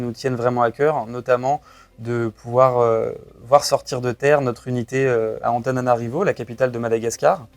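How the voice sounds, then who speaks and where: Recorded very cleanly against a silent background, a man speaks at a moderate pace and medium pitch with fairly even intonation. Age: 20s. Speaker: startup co-founder. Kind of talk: interview. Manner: hesitant, frequent fillers.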